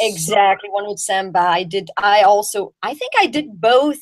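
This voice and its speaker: A woman with a French accent speaks fairly slowly at a medium pitch with ordinary pitch variation. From Belgium. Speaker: jazz singer. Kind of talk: interview.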